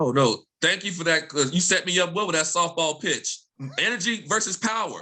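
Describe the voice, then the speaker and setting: A man with an American accent talks in a raised, projected voice with an animated tone. His high pitch carries a bright, sharp tone and ordinary pitch variation. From Mississippi, US South. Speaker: professor. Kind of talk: panel discussion. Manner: fast.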